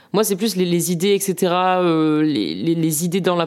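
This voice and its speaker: A very clean recording with a silent background of a woman's fairly low-pitched voice, at a moderate pace with ordinary pitch variation. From southwest France, Landes. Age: 20s. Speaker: political activist and student. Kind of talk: interview. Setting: at home. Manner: hesitant, many fillers.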